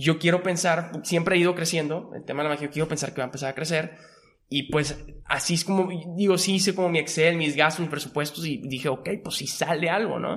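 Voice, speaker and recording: A normal speaking voice from a man, pitched fairly high and with fairly even intonation. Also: fairly quick pace. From Monterrey, northern Mexico. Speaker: magician and entrepreneur. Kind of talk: casual interview.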